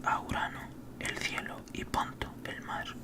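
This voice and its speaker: A man whispering very slowly over noticeable background noise. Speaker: ASMR creator. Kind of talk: whispered book reading. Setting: home studio. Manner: whispered.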